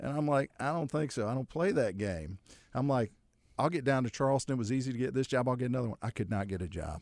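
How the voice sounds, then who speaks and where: The speaker talks at a very fast pace with lively intonation in an American accent. The recording is very clean, with a silent background. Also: man, medium pitch for a man. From Ohio (Akron). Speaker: lawyer. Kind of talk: casual chat.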